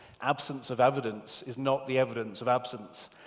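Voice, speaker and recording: A man with a British accent speaks at a fairly quick pace and medium pitch. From UK. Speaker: software tester, conference speaker. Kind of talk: conference talk. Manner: halting, many fillers.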